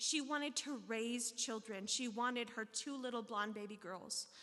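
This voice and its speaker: With an American accent, a woman speaks in a bright, sharp tone at a fairly high pitch, and the room echo is audible. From US South (Tennessee, Arkansas). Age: 40s. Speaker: recovery speaker sharing her story. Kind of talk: testimony at recovery meeting. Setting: stage with audience. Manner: casual, conversational with fillers.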